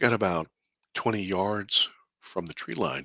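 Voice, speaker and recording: Against a quiet background, a man talks at a fairly slow pace in a bright, sharp tone, the sound dry and close with no echo. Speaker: filmmaker and alien abduction experiencer. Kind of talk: interview storytelling.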